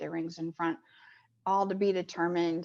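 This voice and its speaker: A woman with an American accent, fairly low in pitch, with monotone, flat intonation. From Kansas City, Missouri, US Midwest. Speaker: sports commission executive. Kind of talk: presentation and Q&A. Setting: video call. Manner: fast.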